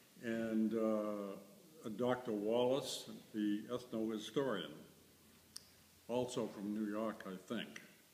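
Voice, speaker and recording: Very slowly and with fairly even intonation, a man speaks in an American accent at a fairly low pitch. Room echo is audible. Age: 80s+. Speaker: museum curator. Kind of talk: interview. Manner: halting.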